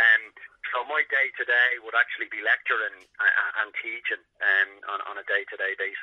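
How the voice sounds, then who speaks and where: A Dublin accent at a moderate pace, with big swings in loudness. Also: man. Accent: Dublin Irish. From Ireland, Dublin. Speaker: sports psychologist. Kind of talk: interview.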